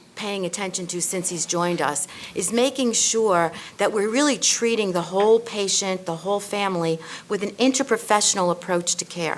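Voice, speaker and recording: With a New York accent, a woman speaks at a moderate pace with ordinary pitch variation. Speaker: nursing school dean on a panel. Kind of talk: panel discussion. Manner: halting, many fillers.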